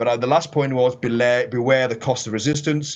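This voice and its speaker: Here is a man's voice at medium pitch. He talks at a fairly quick pace. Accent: English. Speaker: professor. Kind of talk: lecture.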